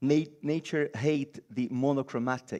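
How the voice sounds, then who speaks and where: Against a quiet background, a man with a Brazilian accent talks in a fairly high pitch with ordinary variation and a dark, mellow tone. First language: Portuguese. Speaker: designer and biomimicry lecturer. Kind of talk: conference talk. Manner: halting.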